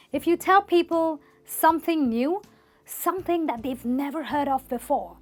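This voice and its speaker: With music in the background, the speaker uses a non-native accent, ordinary pitch variation and a moderate pace. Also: woman. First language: not English. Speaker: English teacher. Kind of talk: tutorial.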